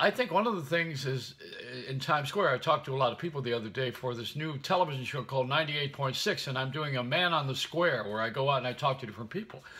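A man rattles along at a very fast pace with hardly any pauses. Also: ordinary pitch variation. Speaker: radio, television host. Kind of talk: casual vlog chat, comic storytelling. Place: home room. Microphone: phone near.

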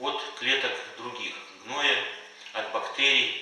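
A man talks at a fairly slow pace. Strong room echo surrounds his voice. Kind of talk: lecture.

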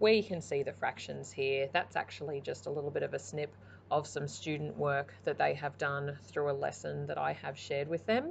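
A woman talks at a moderate pace, with light background noise audible. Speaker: primary school teacher. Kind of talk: explanatory presentation. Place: home room.

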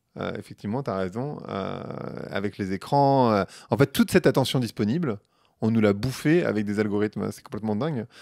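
Lively intonation marks a man speaking at a fairly low pitch and a fairly quick pace. The sound is dry with no echo, over a quiet background. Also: big swings in loudness. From Paris suburbs, France; France. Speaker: marketing professional and podcaster; podcast guest. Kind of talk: casual interview. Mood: relaxed, engaged. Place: home room. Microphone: handheld.

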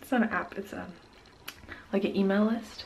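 Light background noise sits behind a woman whose intonation stays fairly even. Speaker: vlogger. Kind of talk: casual vlog chat. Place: home room. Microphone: phone near.

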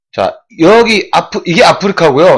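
A man's voice carries vocal fry over a quiet background. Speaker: swimming live streamer. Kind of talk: casual live-stream chat explaining the chat overlay. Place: home room. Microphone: webcam.

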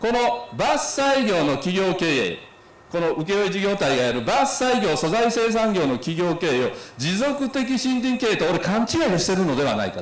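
Over light background noise and audible room echo, a man with a high pitch speaks at a moderate pace, his pitch swinging very widely. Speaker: association representative giving a talk. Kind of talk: symposium talk with slides. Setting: symposium hall with audience. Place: hall. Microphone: podium.

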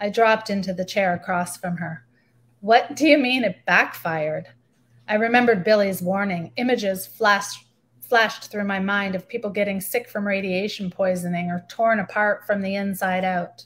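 A woman's somewhat breathy voice in a Canadian accent, medium in pitch, with fairly even intonation at a moderate pace. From Canada, northern Ontario, military bases. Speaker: novelist. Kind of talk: reading aloud. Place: home room. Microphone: webcam.

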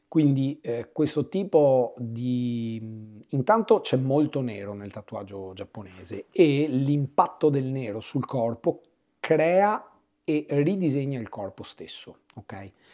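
A man's medium-pitched voice, dark and mellow in tone, with lively intonation and a very slow pace. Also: big swings in loudness. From Venice, Italy. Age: 40s. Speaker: tattoo artist. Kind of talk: interview.

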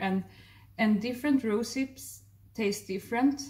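Somewhat breathy, a woman speaks at a moderate pace with ordinary pitch variation and a Swedish accent. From Sweden. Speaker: raw vegan chef and health therapist, video blogger; video blogger. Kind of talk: casual vlog narration. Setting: outdoors on a walk. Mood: warm, enthusiastic. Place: kitchen. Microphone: phone near.

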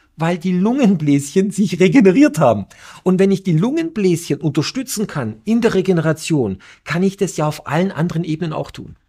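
Lively intonation and a dark, mellow tone come from a man with a high pitch. He speaks at a fairly quick pace over a quiet background. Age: middle-aged. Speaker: entrepreneur and inventor; guest. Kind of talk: interview. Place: studio. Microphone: lapel.

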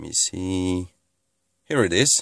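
A man talks at a very slow pace. The sound is dry with no echo, and the background is quiet. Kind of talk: casual vlog chat. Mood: pleased, thankful. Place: car.

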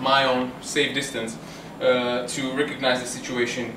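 The background carries noticeable noise. Over it, a man delivers his words fairly slowly. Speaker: self-defence instructor. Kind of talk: tutorial. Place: bar. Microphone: camera far.

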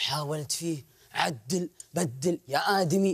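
With little sound behind him, a man speaks. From Saudi Arabia. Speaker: entrepreneur; storyteller on TV show. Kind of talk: personal storytelling. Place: studio. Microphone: lapel.

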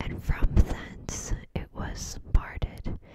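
Whispering, a woman speaks at a very slow pace. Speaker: ASMR creator. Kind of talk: scripture reading. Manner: whispered, soft-spoken. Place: home room. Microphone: studio mic.

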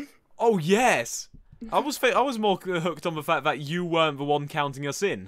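A man's high voice with lively intonation at a moderate pace, over a quiet background. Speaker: gaming youtuber. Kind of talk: casual reaction video. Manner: self-deprecating, jokey. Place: home room. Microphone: headset.

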